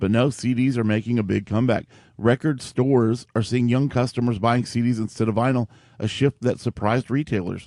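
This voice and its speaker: Here a man speaks at a fairly quick pace, his pitch medium and his tone dark and mellow, with fairly even intonation and very even loudness. The sound is dry and close with no echo, over a quiet background. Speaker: tech show co-host. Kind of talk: casual chat.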